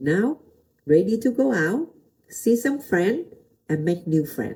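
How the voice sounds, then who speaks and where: A woman with a Vietnamese accent speaks at a very slow pace and a medium pitch, her dark, mellow tone somewhat breathy and marked by very wide pitch swings. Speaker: pastor. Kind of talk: motivational talk. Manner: halting.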